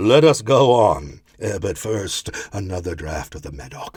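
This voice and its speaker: In a put-on character voice, a man speaks at a moderate pace with a fairly low pitch. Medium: read story.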